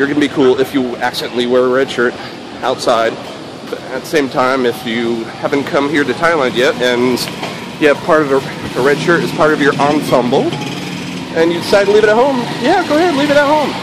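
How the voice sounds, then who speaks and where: Over noticeable background noise, a man with a fairly high pitch talks at a fairly quick pace, with ordinary pitch variation and long, frequent pauses. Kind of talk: casual vlog. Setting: outdoors walking. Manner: casual, jokey.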